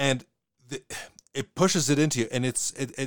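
A man with a Western Canadian accent speaks on a very clean recording with a silent background. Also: dry, close sound with no echo. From Western Canada. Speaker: podcast host. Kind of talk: casual podcast discussion. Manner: fast talker, hesitant with repeated words.

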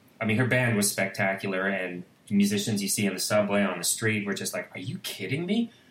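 The intonation holds fairly level. Clear background noise can be heard throughout. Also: man. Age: 50s. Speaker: composer and musician. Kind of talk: interview conversation.

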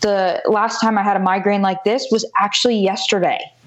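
With an American accent, a woman speaks at a fairly quick pace and with fairly even intonation. Noticeable background noise runs underneath. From US South, South Florida. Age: 20s. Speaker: entrepreneur, former softball player. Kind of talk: interview.

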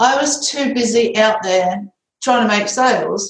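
Pitch varies in an ordinary way, and there is some breathiness. The pace is fairly slow. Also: woman. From UK. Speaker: author and business consultant. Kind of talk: interview.

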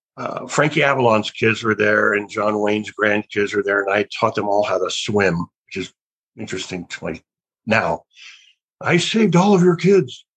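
In a dry, close recording with no echo, a man with an unremarkable speaking voice talks at a moderate pace, his fairly low pitch carrying lively intonation. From US South (Alabama). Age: 60s. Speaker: actor. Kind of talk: interview. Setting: video call.

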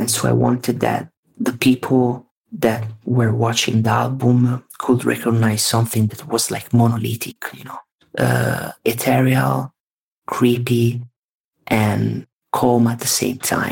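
Big swings in loudness run through this man's speech. He talks with an Italian accent at a fairly slow pace. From Italy, Tuscany. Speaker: vaporwave music producer. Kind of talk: casual interview chat. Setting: remote call, at home late at night.

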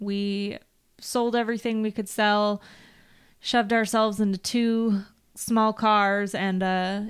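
A woman at medium pitch, fairly slow pace and monotone, flat intonation, in a very clean recording with a silent background. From Northern California. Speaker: field service manager in the equipment trade. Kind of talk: casual chat. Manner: talkative.

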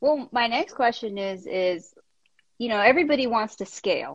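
A woman's fairly high voice with lively intonation at a moderate pace, recorded dry and close with no echo. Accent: American. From US South, New Orleans. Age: 40s. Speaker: podcast host. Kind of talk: casual interview chat. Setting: live stream. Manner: animated.

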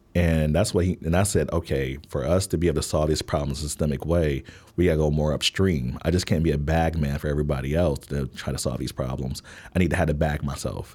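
A man with a very deep, low voice and vocal fry speaks at a very fast pace in an American accent, his dark, mellow tone held to fairly even intonation on a very clean recording with a silent background. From Milwaukee, Wisconsin. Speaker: social entrepreneur. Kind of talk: casual interview.

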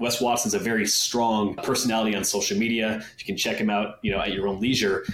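At a very fast pace with hardly any pauses, a man speaks at a medium pitch in a monotone, flat intonation and very even loudness, with audible room echo and noticeable background noise. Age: 30s. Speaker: fitness podcast host. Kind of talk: casual interview chat.

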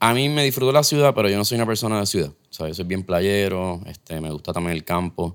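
In a Puerto Rican accent, a man with a fairly low pitch talks very fast with lively intonation and hardly any pauses, on a very clean recording with a silent background. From Puerto Rico. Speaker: head brewer. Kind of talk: casual chat.

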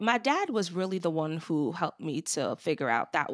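A woman with a New York accent speaks at a fairly quick pace, her pitch medium and her intonation lively. The recording is very clean with a silent background, and the sound is dry and close with no echo. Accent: New York American. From New York, Long Island. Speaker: HR executive. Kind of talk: interview.

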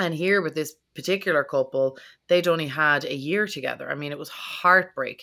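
With an Irish accent, a woman talks at a fairly quick pace in a bright, sharp tone, her loudness swinging widely on a very clean recording with a silent background. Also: fairly low pitch for a woman, ordinary pitch variation. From Ireland. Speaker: podcast host. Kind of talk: casual interview chat.

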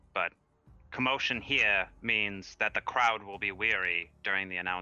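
With music in the background, a man talks at a moderate pace in a fairly low voice with fairly even intonation. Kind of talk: tabletop RPG roleplay, in-character dialogue mixed with casual table talk.

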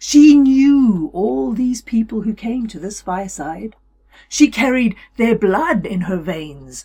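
Simple reading aloud, nothing more

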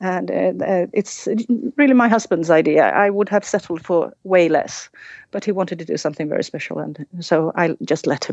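Vocal fry runs through this voice as it speaks at a moderate pace. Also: woman, fairly low pitch for a woman, ordinary pitch variation. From Sweden. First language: Swedish. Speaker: horse owner and listener. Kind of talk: casual interview chat.

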